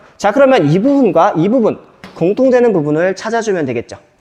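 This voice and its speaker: The speech comes at a fairly quick pace amid noticeable background noise. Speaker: math teacher. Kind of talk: lecture. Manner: fast.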